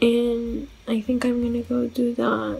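The pace is very slow. Faint music plays in the background. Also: woman. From Portugal. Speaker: book vlogger. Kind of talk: casual vlog talk to camera. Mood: sad, self-critical. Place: home room. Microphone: earbuds.

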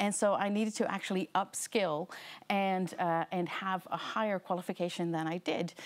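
A woman with a North American accent, moderate pace and fairly even intonation. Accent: North American-sounding English. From Netherlands. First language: Dutch. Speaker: learning experience designer. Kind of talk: seminar lecture. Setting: lecture room with live audience. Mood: warm, friendly storytelling. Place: hall. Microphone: lapel.

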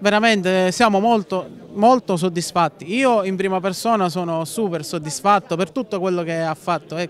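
A man speaks at a high pitch with ordinary pitch variation. There is light background noise, and the sound is dry with no echo. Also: moderate pace. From Sicily, Villasmundo; Sicily. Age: 20s. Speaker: local political organizer. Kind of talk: interview. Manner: hesitant, many fillers. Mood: earnest, satisfied. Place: street. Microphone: handheld.

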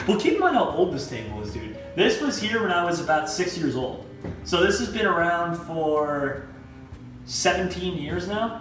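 A high-pitched man at a moderate pace, with audible room echo and clear music in the background. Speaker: vlogger giving home tour. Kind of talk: casual vlog chat. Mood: playful, nostalgic. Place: home room. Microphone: camera far.

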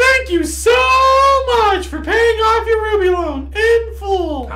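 An extremely high put-on character voice goes at a fairly slow pace over loud background noise. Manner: put-on, cheery.

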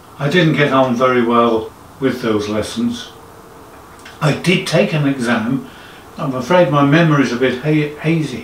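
Amid light background noise and audible room echo, a man with a fairly high pitch speaks with lively intonation and long, frequent pauses. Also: moderate pace. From England, Suffolk. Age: 60s. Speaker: amateur organist. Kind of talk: casual talk to camera. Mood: modest, reflective. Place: home room.

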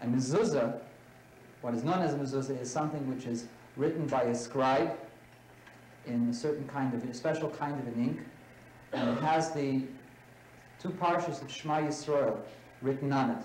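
A man's fairly high voice with ordinary pitch variation and long, frequent pauses, in audible room echo with light background noise. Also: moderate pace. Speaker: religious studies teacher. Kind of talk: classroom lecture. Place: classroom. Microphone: camera far.

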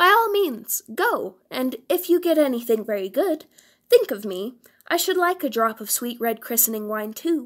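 In a very clean recording with a silent background, a woman uses a put-on character voice with a high pitch at a moderate pace. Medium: read story.

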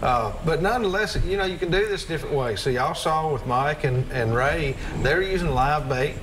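A man talks at a fairly quick pace while noticeable background noise carries on behind him. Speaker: TV show host. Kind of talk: broadcast host talk. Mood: relaxed, jovial. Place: studio. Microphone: lapel.

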